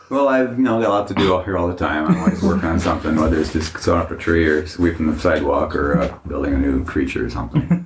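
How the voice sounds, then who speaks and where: Over noticeable background noise, a man with a very deep, low pitch talks very fast with lively intonation and hardly any pauses. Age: 70s. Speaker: haunted attraction owner. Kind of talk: interview.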